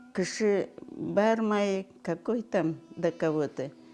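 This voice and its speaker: Music plays behind a woman speaking at medium pitch. Her pace is very slow. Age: 80s+. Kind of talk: oral history interview answer.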